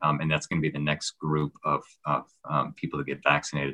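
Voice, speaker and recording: Very fast, flat, monotone speech in an American accent, bright and sharp in tone, with a dry, close sound and no echo. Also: man. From Minnesota. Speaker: infectious disease physician. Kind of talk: interview.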